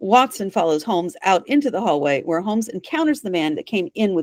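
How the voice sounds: Natural-sounding reading voice.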